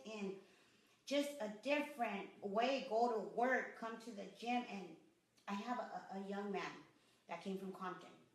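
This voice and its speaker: A woman with an American accent speaks at a fairly slow pace with a fairly high pitch. Her lively intonation comes with audible room echo. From Los Angeles, US. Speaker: boxing gym owner. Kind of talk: interview.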